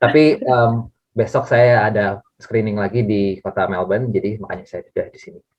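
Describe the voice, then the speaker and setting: With a strong Bandung accent, a man speaks at a moderate pace and medium pitch, his intonation fairly even but his loudness swinging widely. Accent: strong Bandung (Sundanese) Indonesian. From Indonesia, Bandung. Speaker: documentary filmmaker. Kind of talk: online interview. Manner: hesitant, many fillers.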